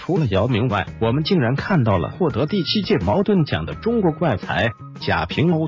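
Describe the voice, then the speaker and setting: A man with a fairly high voice speaks at a moderate pace, making very wide pitch swings. Music plays in the background. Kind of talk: narrated article read.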